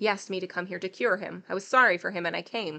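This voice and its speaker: Someone growls through a put-on character voice. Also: woman. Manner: snarling.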